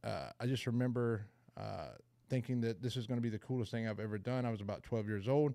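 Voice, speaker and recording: With an American accent, a man talks at a very fast pace and a medium pitch. His tone is dark and mellow, and his intonation fairly even. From US South, rural Georgia near Savannah. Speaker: person in recovery sharing story. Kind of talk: recovery meeting testimony. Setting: video call.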